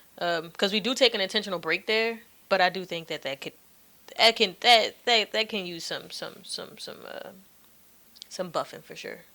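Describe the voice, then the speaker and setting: Soft-spoken yet with big swings in loudness, a woman talks at a moderate pace in a fairly high pitch with a bright, sharp tone and ordinary pitch variation. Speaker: podcast host. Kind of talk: casual chat.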